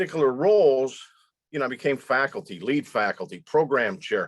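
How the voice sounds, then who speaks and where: A dry, close sound with no echo carries this voice. It belongs to a man talking at a moderate pace. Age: 60s. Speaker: leadership instructor and former business executive. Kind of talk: online presentation to students. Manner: halting, with repetitions.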